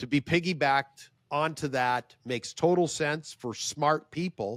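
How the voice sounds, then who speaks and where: A man talks in an ordinary speaking voice, fairly high in pitch, at a fairly slow pace. The sound is dry and close, with no echo. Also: ordinary pitch variation. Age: 60s. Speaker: professional speaker and publicist. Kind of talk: casual interview.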